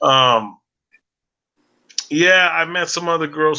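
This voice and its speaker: A man with an American accent, fairly high pitch, lively intonation and a bright, sharp tone. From Colorado, US. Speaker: live-stream vlogger. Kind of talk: casual live-stream chat. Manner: fast.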